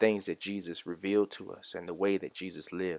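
A man speaks in a flat monotone at a fairly low pitch. The recording is very clean, with a silent background. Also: dry, close sound with no echo. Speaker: pastor. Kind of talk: fervent prayer, spoken in the pulpit style of a short daily devotional. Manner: earnest, rhythmic, building through repeated phrases; formal, warm and solemn.

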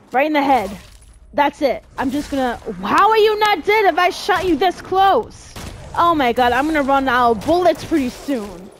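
Over noticeable background noise, a high-pitched woman speaks in an animated tone with very wide pitch swings. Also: moderate pace. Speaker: gaming youtuber. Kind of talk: gameplay commentary, angry ranting. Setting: home recording, solo playing video game. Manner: animated, loud, cursing and frustrated; excitable, exasperated.

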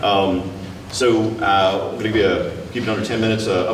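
Noticeable background noise is heard as a man speaks. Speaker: presenter. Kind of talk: lecture. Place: hall.

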